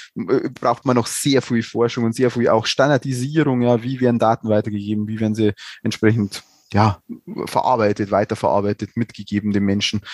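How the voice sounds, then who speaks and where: A man speaks in an unremarkable speaking voice at a medium pitch and moderate pace. The recording is very clean with a silent background, and the sound is dry and close with no echo. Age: 40s. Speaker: nursing research lead at a university hospital. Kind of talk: casual expert discussion.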